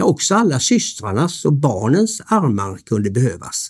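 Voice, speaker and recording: A somewhat breathy man's voice at medium pitch, with very wide pitch swings and a moderate pace, on a very clean recording with a silent background. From Sweden, Varberg (Halland). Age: 60s. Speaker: hotel owner telling his life story. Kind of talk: scripted narration. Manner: formal.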